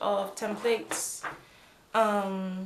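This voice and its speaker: A woman is speaking. Room echo is audible. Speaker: planner crafting youtuber. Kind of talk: craft tutorial. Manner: casual, many fillers.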